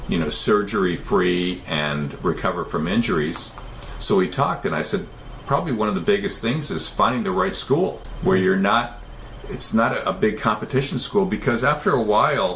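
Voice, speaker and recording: A man with an American accent at a medium pitch and moderate pace, with very wide pitch swings, audible room echo and noticeable background noise. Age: 70s. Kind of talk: interview. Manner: halting, with frequent repetitions.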